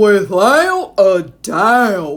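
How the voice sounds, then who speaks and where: A woman performs a put-on character voice at a medium pitch. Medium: read story. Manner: boastful.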